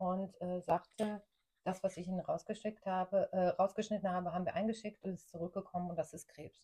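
A woman's dark, mellow, somewhat breathy voice at a fairly quick pace. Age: 40s. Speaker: cancer survivor. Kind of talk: interview.

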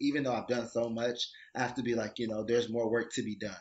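A man with an American accent and medium pitch has an unremarkable speaking voice and fairly even intonation. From Detroit, US Midwest. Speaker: professional dancer and arts administrator. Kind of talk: casual chat.

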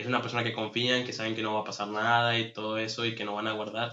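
A man's voice at a medium pitch. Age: 30s. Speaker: podcast host. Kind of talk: casual chat.

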